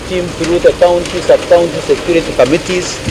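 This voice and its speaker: Against noticeable background noise, a high-pitched man speaks at a fairly quick pace in a monotone, flat intonation. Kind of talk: press statement. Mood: firm, confident. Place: street. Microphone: handheld.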